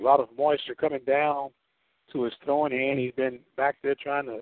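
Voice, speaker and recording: At a fairly quick pace, a man talks in a plain, everyday voice with a fairly high pitch. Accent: American. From US Midwest. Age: 50s. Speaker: radio sports announcer. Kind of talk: live baseball play-by-play commentary. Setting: radio broadcast from ballpark.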